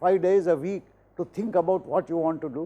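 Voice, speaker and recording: With an Indian accent, a man speaks in a high pitch and a dark, mellow tone. He moves at a moderate pace. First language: Hindi. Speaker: professor. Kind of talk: lecture. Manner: formal. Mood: motivational, earnest. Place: studio. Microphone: lapel.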